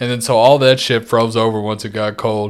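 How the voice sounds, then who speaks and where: A man with a normal speaking voice, fairly even intonation and a fairly quick pace. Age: 20s. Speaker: video game podcast co-host. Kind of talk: casual chat.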